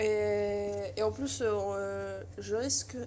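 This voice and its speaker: A woman speaks in a very deep, low voice, dark, mellow and somewhat breathy. Her intonation is monotone and flat. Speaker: youtuber and amateur artist. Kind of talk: casual vlog. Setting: in her bedroom. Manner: halting, many hesitations.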